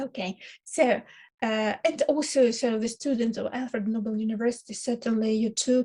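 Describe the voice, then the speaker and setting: A woman with a Ukrainian accent speaks at a moderate pace in a fairly high pitch, sounding somewhat breathy. Her tone is dark and mellow, and the background is quiet. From Ukraine. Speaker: university lecturer. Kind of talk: lecture. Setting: online lecture, recorded for video. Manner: hesitant, many filler sounds. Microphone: webcam.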